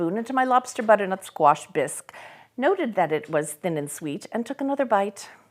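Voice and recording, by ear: A passage is read aloud in a natural voice.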